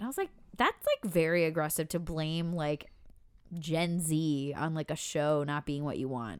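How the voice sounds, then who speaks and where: Here a woman speaks at a moderate pace in a normal speaking voice. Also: very clean recording, silent background. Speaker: podcast co-host. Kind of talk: casual chat.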